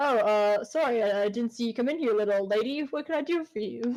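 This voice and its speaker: A woman rattles off lines at a very fast pace in a put-on character voice. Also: fairly high pitch for a woman. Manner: apologetic, gruff.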